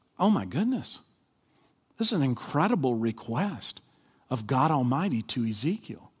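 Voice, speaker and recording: Against a silent background in a very clean recording, a man with an American accent talks at a moderate pace in a somewhat breathy, fairly high-pitched voice, with very wide pitch swings and long, frequent pauses. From Kentucky. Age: 50s. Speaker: pastor. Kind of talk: sermon. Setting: church with live congregation.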